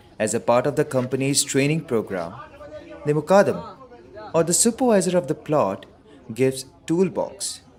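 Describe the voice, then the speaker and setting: A man with a fairly high pitch and very wide pitch swings talks at a moderate pace with long, frequent pauses amid noticeable background noise. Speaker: voice actor. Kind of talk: documentary narration.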